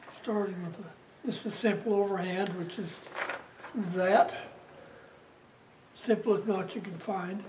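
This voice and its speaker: Over noticeable background noise, a man speaks at a moderate pace in a high-pitched voice with fairly even intonation. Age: 80s+. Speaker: Scoutmaster. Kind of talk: instructional demonstration.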